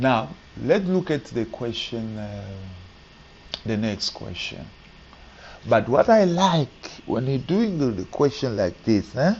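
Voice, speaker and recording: A soft-spoken man at a very slow pace, with very wide pitch swings, long, frequent pauses and noticeable background noise. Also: medium pitch for a man. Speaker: maths teacher. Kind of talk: tutorial. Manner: halting.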